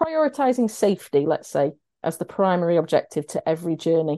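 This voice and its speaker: A woman's dark, mellow, fairly low voice in a South Yorkshire accent, at a moderate pace against a quiet background. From Sheffield, South Yorkshire. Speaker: road safety charity campaigns manager. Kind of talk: interview.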